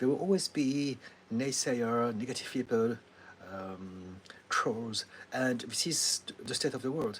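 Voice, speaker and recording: A man with a French accent, medium in pitch, fairly slow, with long and frequent pauses and ordinary pitch variation. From France (Paris), Chinese heritage. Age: 50s. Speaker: therapist. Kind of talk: live Q&A answering viewer comments. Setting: YouTube livestream. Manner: hesitant, many fillers.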